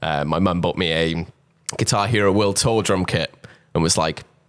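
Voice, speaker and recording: Here a man speaks in a South Wales Valleys accent. His intonation stays fairly even. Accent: Welsh (South Wales valleys). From South Wales, Pontypridd. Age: 20s. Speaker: drummer. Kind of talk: interview.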